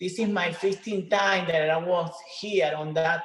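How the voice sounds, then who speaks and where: Heard with audible room echo, a woman in a Spanish accent speaks at a fairly low pitch with fairly even intonation. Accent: Spanish accent, non-native English. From Venezuela. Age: 50s. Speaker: retired professional bodybuilder. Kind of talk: interview. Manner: halting.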